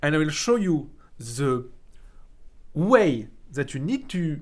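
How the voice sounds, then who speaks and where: Lively intonation marks a man's fairly high-pitched voice, in a strong French accent. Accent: thick French. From France. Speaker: 3D art teacher. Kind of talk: tutorial. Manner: casual, halting with many fillers.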